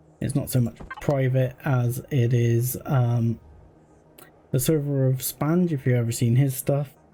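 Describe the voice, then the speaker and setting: A man speaks at a fairly slow pace and medium pitch, his loudness very even. His intonation is monotone and flat, with noticeable background noise behind him. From Cornwall, England. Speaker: video game streamer. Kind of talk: live gameplay stream commentary. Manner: casual, hesitant with many fillers.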